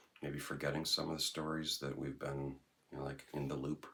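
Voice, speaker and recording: Over noticeable background noise, the speaker goes at a fairly quick pace in a monotone, flat intonation. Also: man. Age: 60s. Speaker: vlogger. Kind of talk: casual monologue vlog. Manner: rambling, hesitant with fillers.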